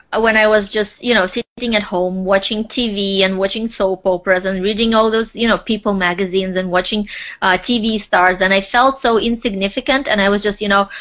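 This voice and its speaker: The speaker has a non-native accent and fairly even intonation. The pace is moderate against a quiet background. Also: woman. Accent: foreign. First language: not English. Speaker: social media consultant. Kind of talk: interview.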